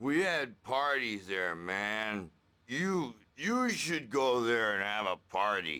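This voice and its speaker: Putting on a character voice, a man talks at a very slow pace in a medium pitch with very wide pitch swings. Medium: video game. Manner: erratic, slangy.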